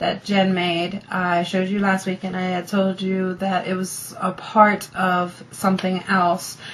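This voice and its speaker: A woman's medium-pitched voice competes with noticeable background noise. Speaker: crafting vlogger. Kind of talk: casual video diary.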